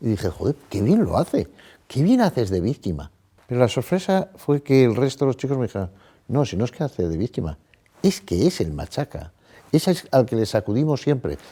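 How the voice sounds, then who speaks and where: A man with a dark, mellow tone and very wide pitch swings, at a fairly quick pace, in a very clean recording with a silent background. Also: medium pitch for a man. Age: 60s. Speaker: psychologist. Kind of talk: interview.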